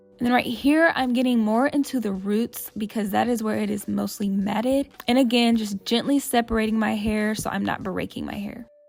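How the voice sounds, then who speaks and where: A woman speaks at a moderate pace with hardly any pauses, her pitch fairly high and her intonation fairly even. Background noise is noticeable. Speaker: hair tutorial vlogger. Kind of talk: tutorial.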